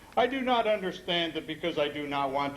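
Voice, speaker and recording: Lively intonation and a fairly high pitch mark a man speaking in an unremarkable speaking voice. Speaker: poet. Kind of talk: poetry reading.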